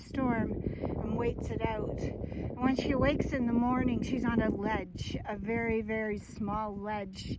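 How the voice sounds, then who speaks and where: Over noticeable background noise, a woman with a fairly high pitch talks at a fairly slow pace with fairly even intonation. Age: 60s. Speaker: hiker. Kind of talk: casual vlog narration while hiking.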